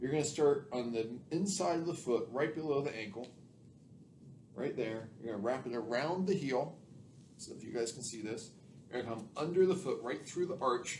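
Amid light background noise and audible room echo, a somewhat breathy man speaks at a moderate pace with long, frequent pauses. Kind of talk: tutorial. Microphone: camera far.

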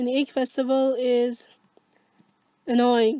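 A woman's high voice carries a dark, mellow tone in a dry, close sound with no echo. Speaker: gaming YouTuber. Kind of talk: let's play commentary. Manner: halting.

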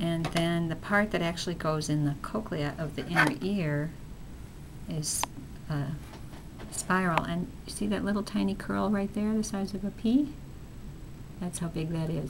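A woman speaks at a moderate pace with ordinary pitch variation. Noticeable background noise can be heard. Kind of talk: explanatory interview demonstration. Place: office.

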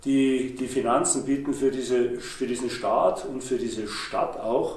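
At a fairly slow pace, a man with a medium-pitched voice speaks with fairly even intonation and audible room echo.

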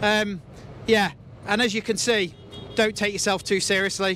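A man in a raised, projected voice with a bright, sharp tone speaks at a moderate pace, in a dry sound with no echo and light background noise. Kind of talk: interview answer. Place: farm machine. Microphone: handheld.

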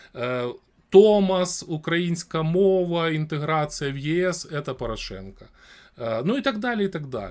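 High, man's voice with very wide pitch swings at a fairly slow pace, in a very clean recording with a silent background. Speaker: streamer talking to random people in video chat. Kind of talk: casual debate with strangers; reading news aloud.

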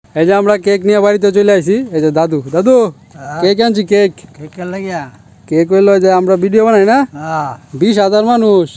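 Pitched high for a man, his voice rises and falls in the usual way. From Bangladesh, Netrokona (Mymensingh). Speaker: vlogger. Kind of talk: casual vlog narration.

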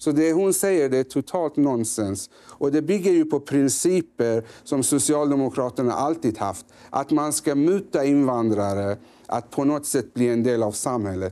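A man talks at a moderate pace in a fairly high pitch with a dark, mellow tone. His intonation is lively, and his loudness stays very even. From Sweden, grew up there from age five. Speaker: member of parliament, politician; politician guest. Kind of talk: political interview. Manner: halting, with many fillers and repetitions. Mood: critical, firm. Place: studio.

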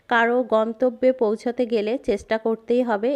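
Here a woman talks with a fairly high pitch over a quiet background. The sound is dry and close, with no echo. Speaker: vlogger and shopkeeper. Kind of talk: casual vlog narration.

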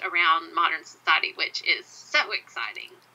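A moderate pace carries the speech. It comes with a Southern US accent. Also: woman. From US South. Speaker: podcast host. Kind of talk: interview conversation.

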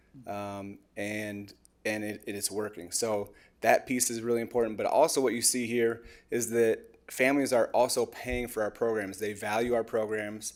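A man talks in a monotone, flat intonation. The recording is very clean, with a silent background. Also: medium pitch for a man. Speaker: parks department staff presenter. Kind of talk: public meeting presentation. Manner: fast.

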